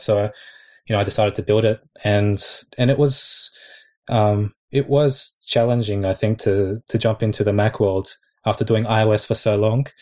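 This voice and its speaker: A somewhat breathy man with an Australian accent and fairly low pitch, fairly quick in pace with fairly even intonation, on a very clean recording with a silent background. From Australia (Sydney). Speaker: app developer. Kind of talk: casual chat.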